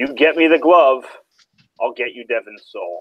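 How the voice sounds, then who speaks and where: A man puts on a raspy character voice, talking at a moderate pace. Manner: bargaining, sinister.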